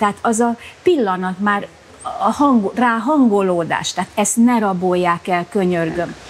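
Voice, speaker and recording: Amid noticeable background noise, a woman talks at a fairly slow pace with ordinary pitch variation. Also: medium pitch for a woman. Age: 60s. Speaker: bath regular. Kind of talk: interview. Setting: thermal bath. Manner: halting.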